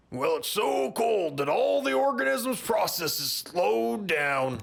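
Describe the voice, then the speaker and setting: A man puts on a cartoonish character voice with a fairly high pitch. He talks at a fairly slow pace. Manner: chuckling, easygoing.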